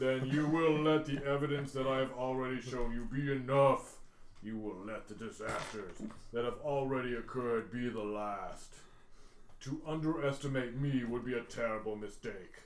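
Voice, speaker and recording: A man puts on a character voice at a medium pitch and a moderate pace. Light background noise is present. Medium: actual play. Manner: menacing, formal, pedantic.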